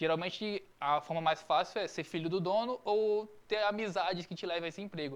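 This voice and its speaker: He talks in a high pitch with ordinary pitch variation. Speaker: young local activist, student. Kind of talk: studio interview. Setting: TV studio. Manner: fast.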